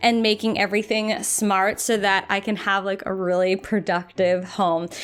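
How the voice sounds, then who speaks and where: With music in the background, a woman speaks in an animated tone. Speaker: lifestyle YouTuber. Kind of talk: unboxing video.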